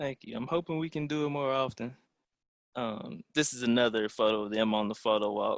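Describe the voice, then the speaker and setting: A man has a normal speaking voice, a medium pitch and ordinary pitch variation, talking at a fairly quick pace. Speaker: amateur photographer. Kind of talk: photo presentation.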